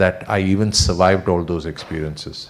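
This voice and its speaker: A man speaks softly. His pitch is very deep and low. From India. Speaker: retiring company executive. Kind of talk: farewell speech. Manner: soft-spoken.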